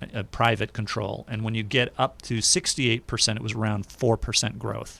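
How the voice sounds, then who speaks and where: A man talks at a medium pitch with vocal fry and fairly even intonation. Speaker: radio host and registered nurse. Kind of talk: radio talk show discussion.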